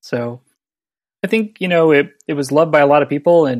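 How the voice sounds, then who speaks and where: This man has an unremarkable speaking voice with fairly even intonation. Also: very clean recording, silent background. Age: 30s. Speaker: podcast co-host. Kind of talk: casual chat.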